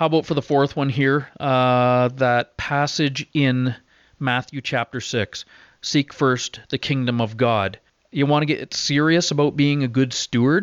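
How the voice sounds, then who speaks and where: With a Canadian accent and a normal speaking voice, a man talks at a fairly slow pace, his pitch medium and his loudness very even. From Ontario, Canada. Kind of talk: interview. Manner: casual, frequent filler words.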